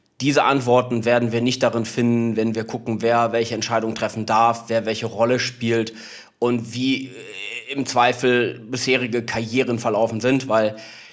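A man keeps to a medium pitch and a monotone, flat intonation while speaking at a moderate pace. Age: 30s. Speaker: PR agency founder. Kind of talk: interview conversation.

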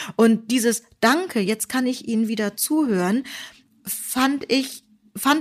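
A woman speaks very slowly in a high voice with lively intonation, on a very clean recording with a silent background. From Germany. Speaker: podcast co-host, teacher. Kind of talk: casual chat, personal story.

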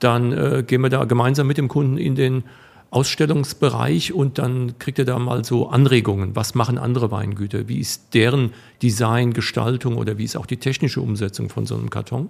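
There is vocal fry in this man's voice. He talks at a fairly quick pace. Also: medium pitch for a man, ordinary pitch variation. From Rhineland-Palatinate, Rheinhessen (Alzey). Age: 50s. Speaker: wine equipment business owner. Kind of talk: interview. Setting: studio.

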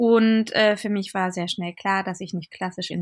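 A woman's medium-pitched voice, an unremarkable speaking voice, at a moderate pace with ordinary pitch variation, on a very clean recording with a silent background. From Berlin. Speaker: fashion designer and platform founder. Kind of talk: casual interview.

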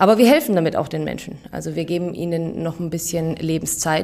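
A woman's fairly low voice at a moderate pace, with noticeable background noise. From Bavaria. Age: 30s. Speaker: pharmacy technician. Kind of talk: interview. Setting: hospital.

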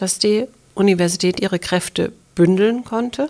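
A woman speaks at a medium pitch with ordinary pitch variation. It is an unremarkable speaking voice. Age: 50s. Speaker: university president. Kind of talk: interview.

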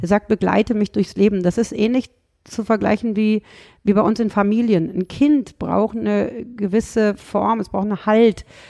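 In a Rhineland accent, a medium-pitched woman speaks at a moderate pace with a dark, mellow tone and fairly even intonation, the sound dry and close with no echo. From Rhineland, Germany. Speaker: dog trainer and animal psychologist. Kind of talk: podcast interview.

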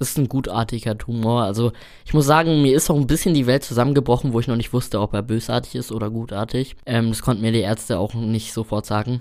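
A man talks at a very fast pace and a medium pitch. His pitch varies in an ordinary way. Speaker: trainee chimney sweep. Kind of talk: interview.

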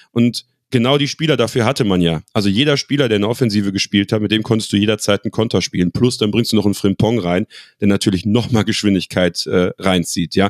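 A man speaks at a very fast pace with a fairly low pitch. His loudness is very even and his pitch variation ordinary. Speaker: football fan and club pundit. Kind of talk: casual chat.

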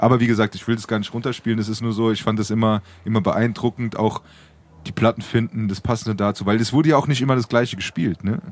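Very fast delivery from a man with a medium pitch and fairly even intonation. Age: 20s. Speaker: podcast co-host. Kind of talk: casual chat.

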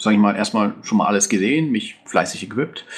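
Noticeable background noise runs through the clip. The speech has ordinary pitch variation. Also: man. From Bavaria, Germany. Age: 20s. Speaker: game server moderator and IT project manager. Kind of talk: podcast interview.

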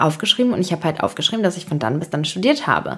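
The speaker sounds animated, with lively intonation. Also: woman. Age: 20s. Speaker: podcast host. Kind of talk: casual monologue.

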